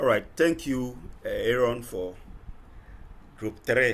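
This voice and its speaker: A man's medium-pitched voice with vocal fry and lively intonation, at a fairly slow pace. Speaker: lecturer. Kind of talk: online class session. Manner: soft-spoken. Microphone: too quiet.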